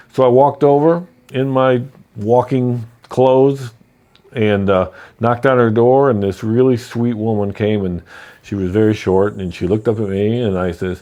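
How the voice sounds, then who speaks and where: The tone is dark and mellow. Pitch variation is ordinary. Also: man. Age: 60s. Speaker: real estate investor. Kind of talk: personal story. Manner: casual, conversational.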